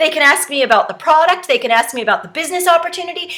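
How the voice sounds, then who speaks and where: A raised, projected voice with lively intonation over noticeable background noise. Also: woman. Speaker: direct sales trainer. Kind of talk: tutorial. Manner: fast; casual, chatty.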